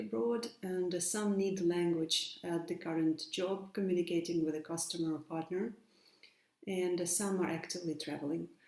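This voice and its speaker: A woman's fairly low voice, with fairly even intonation, comes through noticeable background noise. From Ukraine, Dnipro. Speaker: English teacher. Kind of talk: prepared conference talk. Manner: formal.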